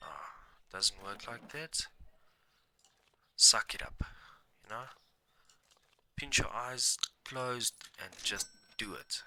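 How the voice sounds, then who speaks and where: A man whispers at a very slow pace with long, frequent pauses. The sound is dry and close, with no echo. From South Africa, Mpumalanga. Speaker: gaming streamer. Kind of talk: gameplay commentary. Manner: casual, halting with fillers; quiet at times.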